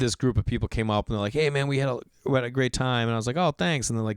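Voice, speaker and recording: Speaking very fast, a man with an American accent holds a medium pitch. The recording is very clean and dry, with a close sound, a silent background and no echo. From Massachusetts, Boston area. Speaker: comedian. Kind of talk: casual podcast storytelling. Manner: animated.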